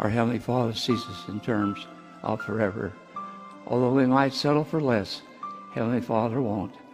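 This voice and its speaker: Over clear music in the background, a man talks at a moderate pace with ordinary pitch variation. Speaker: speaker. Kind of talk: sermon. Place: hall. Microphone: podium.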